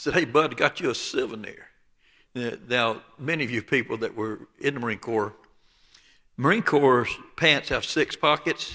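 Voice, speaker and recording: A man with an Alabama accent speaks at a medium pitch with ordinary variation, a bright, sharp tone and long, frequent pauses, in a very clean recording with a silent background. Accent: Southern US, Alabama drawl. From southeast Alabama, US South. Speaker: preacher. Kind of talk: sermon.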